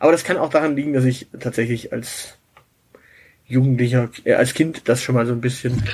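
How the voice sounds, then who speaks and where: A somewhat breathy man's voice at medium pitch, moderate pace and fairly even intonation, with long, frequent pauses. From southern Germany, Swabia. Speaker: podcast co-host. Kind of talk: casual chat.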